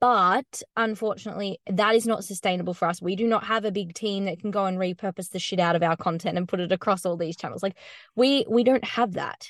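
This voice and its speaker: With an Australian accent and fairly even intonation, the speaker barely pauses, the sound dry and close with no echo against a quiet background. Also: woman, medium pitch for a woman. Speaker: content marketing business founder. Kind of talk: casual interview.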